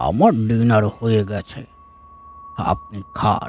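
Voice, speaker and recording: A man puts on a raspy, sinister character voice at a medium pitch. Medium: audio drama. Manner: slow, polite, quietly sinister.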